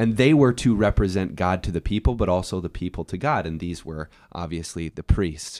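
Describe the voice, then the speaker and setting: A voice at a fairly quick pace with lively intonation, captured in a very clean recording against a silent background. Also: man, very deep, low pitch for a man, dry, close sound with no echo. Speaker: podcast host. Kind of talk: casual chat.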